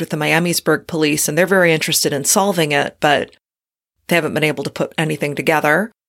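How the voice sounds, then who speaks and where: A woman talks with vocal fry at a very deep, low pitch. The recording is very clean with a silent background. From Detroit area, Michigan. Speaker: true crime podcaster. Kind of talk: casual interview.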